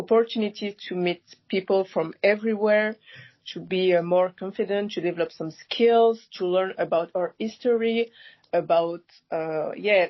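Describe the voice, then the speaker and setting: Speaking with a French accent at a fairly slow pace, a woman keeps a medium pitch and fairly even intonation. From France, Paris. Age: 20s. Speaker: youth network member. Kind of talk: podcast interview. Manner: hesitant, many fillers.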